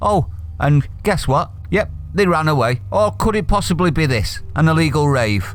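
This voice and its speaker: Music plays in the background with audible room echo. A man speaks with a Manchester accent. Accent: Mancunian. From Manchester, northern England. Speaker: political commentary youtuber. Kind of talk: opinion rant reading from an article. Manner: animated.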